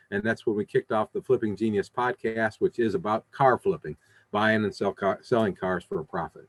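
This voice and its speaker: Fairly quick speech from a man, medium in pitch, with ordinary rise and fall. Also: dry, close sound with no echo. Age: 60s. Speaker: used car dealer and podcast host. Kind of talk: interview. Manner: halting, many repetitions.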